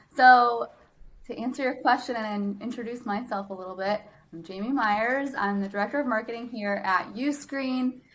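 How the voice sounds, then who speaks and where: A woman with an American accent talks at a moderate pace in a fairly high voice, with ordinary pitch variation and big swings in loudness. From Wisconsin, US Midwest. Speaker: marketing director. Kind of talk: podcast interview.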